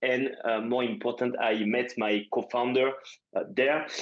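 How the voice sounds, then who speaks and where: A French accent at a fairly slow pace, with fairly even intonation. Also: man. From France. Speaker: startup founder. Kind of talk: interview podcast. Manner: halting, many fillers.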